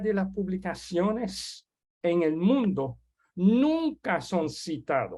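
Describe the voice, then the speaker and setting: The speaker has a French accent. The pace is very slow. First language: French (speaking Spanish). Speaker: webinar host. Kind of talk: webinar introduction. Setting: online webinar. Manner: halting.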